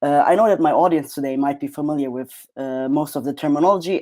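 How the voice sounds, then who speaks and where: On a very clean recording with a silent background, a man with a non-native accent speaks at a fairly high pitch in a dark, mellow tone. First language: not English. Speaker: PhD researcher. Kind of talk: academic presentation.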